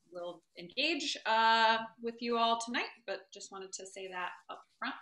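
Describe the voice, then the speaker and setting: Against a quiet background, a woman speaks in a bright, sharp tone with audible room echo. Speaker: political science lecturer. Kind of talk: lecture. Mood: relaxed, slightly self-deprecating. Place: home room. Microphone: video call.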